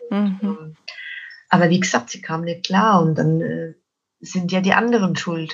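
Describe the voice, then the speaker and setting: A woman speaks at a moderate pace with a fairly low pitch and fairly even intonation, leaving long, frequent pauses while her loudness swings widely. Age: 50s. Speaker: children's book author and donkey coach. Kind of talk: interview about life story.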